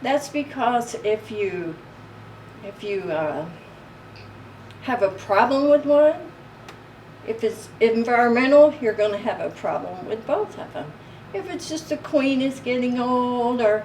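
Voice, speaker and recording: Over noticeable background noise, a woman with a Southern US accent speaks very slowly at a high pitch, with lively intonation, big swings in loudness, and long, frequent pauses. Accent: southern American. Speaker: beekeeper. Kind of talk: interview. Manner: halting.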